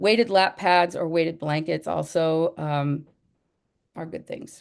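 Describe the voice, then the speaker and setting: A woman speaks in a normal speaking voice, fairly low in pitch, at a fairly slow pace. Her intonation is fairly even, and the background is quiet. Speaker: educator. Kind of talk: presentation.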